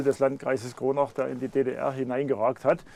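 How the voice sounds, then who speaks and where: At a moderate pace, a man talks with a dark, mellow tone at a fairly high pitch. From Upper Franconia, Lauenstein/Ludwigsstadt area near Thuringian border. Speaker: local historian, author. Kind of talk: interview. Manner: halting.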